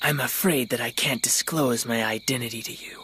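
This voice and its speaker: A put-on character voice runs at a fairly quick pace with big swings in loudness over clear background noise. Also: man, medium pitch for a man. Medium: fan dub. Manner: smug, sardonic.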